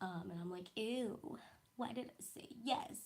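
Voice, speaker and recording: The voice is somewhat breathy. It belongs to a woman. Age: 20s. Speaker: blind YouTuber reading her old diary. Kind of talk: casual livestream chat. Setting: livestream.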